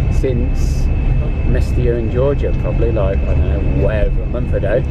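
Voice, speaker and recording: Loud background noise fills the recording. A man's voice comes through dry, with no echo. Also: moderate pace. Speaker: travel vlogger. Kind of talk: casual vlog chat. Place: bus. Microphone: phone near.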